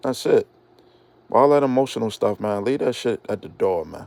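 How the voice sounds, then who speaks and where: A man is speaking. He keeps a moderate pace. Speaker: YouTube commentator. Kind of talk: casual monologue.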